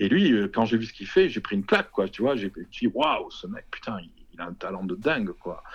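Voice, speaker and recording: The pitch of this man's voice swings very widely around a medium level. He talks at a fairly quick pace. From southwest France, Toulouse area. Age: 50s. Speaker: publisher. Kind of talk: interview conversation. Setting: remote call.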